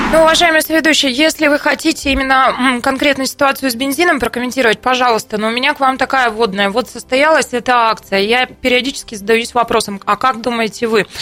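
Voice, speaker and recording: A woman speaks in a raised, projected voice at a high pitch, talking very fast with hardly any pauses, her pitch varying in an ordinary way and her loudness staying very even. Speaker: radio host. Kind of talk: talk radio discussion. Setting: studio.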